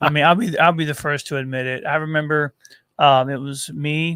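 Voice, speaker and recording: In a normal speaking voice with an American accent, a man talks at a fairly high pitch and moderate pace with ordinary pitch variation on a very clean recording with a silent background. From southern Missouri (Poplar Bluff). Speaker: podcast co-host. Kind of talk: casual chat. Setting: studio.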